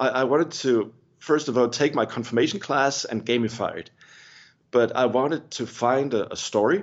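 At a moderate pace, a man talks at a medium pitch with ordinary variation. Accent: Danish. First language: Danish. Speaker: pastor. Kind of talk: interview. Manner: halting, many repetitions.

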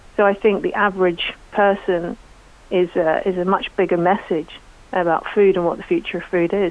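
A woman talks in a monotone, flat intonation over noticeable background noise. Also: medium pitch for a woman, moderate pace. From Northern Ireland, County Antrim. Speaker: chef. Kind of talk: radio interview.

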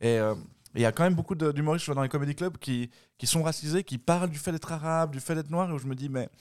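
A man at a very fast pace with a fairly high pitch and ordinary pitch variation, over a very clean recording with a silent background. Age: 30s. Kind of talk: casual chat.

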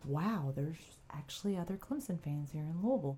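Speaking fairly quickly, a woman talks in a Southern US accent. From US South, upstate South Carolina. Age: 30s. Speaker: sports podcast host. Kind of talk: casual chat. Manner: hesitant, many fillers.

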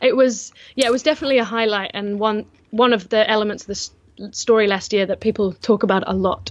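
A woman speaks in a normal speaking voice, fairly high in pitch, with ordinary pitch variation. Her pace is fairly quick against a quiet background. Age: 20s. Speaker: event organizer. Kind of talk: casual interview.

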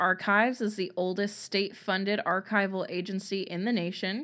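Recorded very cleanly against a silent background, a woman with a normal speaking voice and medium pitch speaks at a moderate pace. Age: 20s. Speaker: true crime podcast co-host. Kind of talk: reading aloud trivia facts; casual chat.

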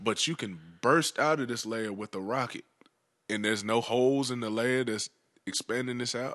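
Over a quiet background in a dry, close sound with no echo, the voice moves at a moderate pace with ordinary pitch variation. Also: man, medium pitch for a man. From US South, Georgia and eastern North Carolina. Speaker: rapper. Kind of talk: casual chat.

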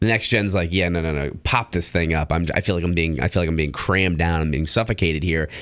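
Pitched very deep and low, a man speaks at a very fast pace with hardly any pauses and ordinary pitch variation. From Italian-American background. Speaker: radio co-host. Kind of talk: casual radio chat. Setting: radio studio. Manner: hesitant, frequent repetitions.

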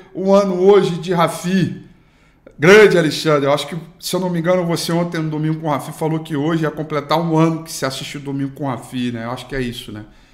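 A man with fairly high pitch speaks at a very fast pace with ordinary pitch variation. Audible room echo surrounds his voice. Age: 30s. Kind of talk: daily market news broadcast. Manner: casual, filler-heavy.

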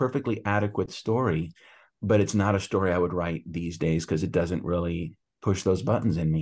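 Against a quiet background, a man with a very deep, low voice talks at a fairly quick pace. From US, Cuban-American family. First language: Spanish. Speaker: author. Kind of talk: interview. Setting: remote call. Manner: hesitant, many fillers.

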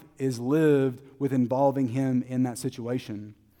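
With a Texan accent, a man speaks at a moderate pace and medium pitch in a dark, mellow tone. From Texas, Terrell. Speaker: preacher. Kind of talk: sermon.

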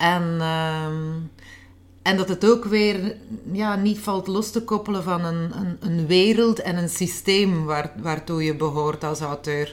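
Her pitch is fairly low for a woman. She speaks at a very slow pace. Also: ordinary pitch variation. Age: 40s. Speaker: author. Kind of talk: interview. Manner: halting.

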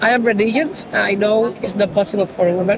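With a Spanish accent, a woman talks at a moderate pace in a medium pitch with ordinary pitch variation over noticeable background noise. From Cuba. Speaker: percussionist and singer. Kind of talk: interview. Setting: street fair. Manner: halting non-native English.

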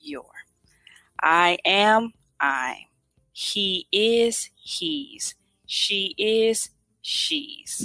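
Over music in the background, a woman speaks at a very slow pace with long, frequent pauses, a fairly high pitch and very wide pitch swings, in a dry, close sound with no echo. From USA. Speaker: English tutor. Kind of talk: language lesson.

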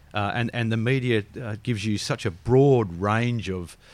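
A man with an Australian accent speaks at a fairly low pitch and fairly slow pace, with ordinary pitch variation, on a very clean recording with a silent background. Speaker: financial advisor. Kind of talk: casual interview. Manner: jovial.

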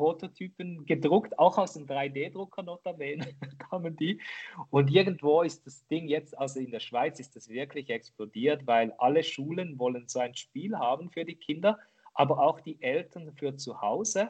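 A plain, everyday voice at a moderate pace, with ordinary pitch variation and big swings in loudness. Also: man, fairly high pitch for a man. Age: 40s. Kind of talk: interview. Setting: remote call.

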